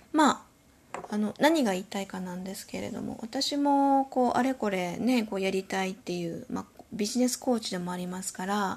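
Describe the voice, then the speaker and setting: Her voice fairly high and somewhat breathy, a woman speaks at a moderate pace with ordinary pitch variation and big swings in loudness. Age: 50s. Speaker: podcast host. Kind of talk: solo podcast monologue. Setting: home. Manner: polite, many filler words.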